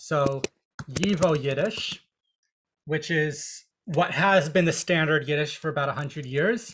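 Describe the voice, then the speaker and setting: A man with an unremarkable speaking voice, pitched fairly high, and ordinary pitch variation. He talks at a fairly slow pace. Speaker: Yiddish teacher. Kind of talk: online lecture. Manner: casual, explanatory with filler words.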